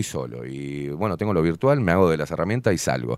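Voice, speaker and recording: A man's very deep, low voice at a very fast pace, with lively intonation. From Uruguay and Buenos Aires. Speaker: show host. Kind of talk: casual interview. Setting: studio.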